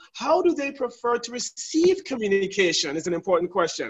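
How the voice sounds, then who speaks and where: An animated man with an American accent, at extremely high pitch, with very wide pitch swings and a fairly quick pace against a quiet background. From US Virgin Islands (St. Thomas); US Virgin Islands. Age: 40s. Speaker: leadership trainer. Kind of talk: webinar hosting. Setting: video call. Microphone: video call.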